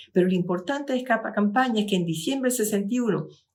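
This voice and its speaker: With lively intonation and some vocal fry, a woman talks at a medium pitch, and audible room echo surrounds her voice. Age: 70s. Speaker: lecturer. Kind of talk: lecture. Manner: halting.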